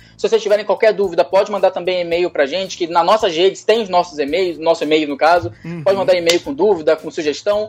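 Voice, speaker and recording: At a very fast pace, a man speaks in a high pitch with ordinary pitch variation. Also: hardly any pauses. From Brazil, Leopoldina, Minas Gerais (Zona da Mata). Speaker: pet meme page creator. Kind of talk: casual interview chat.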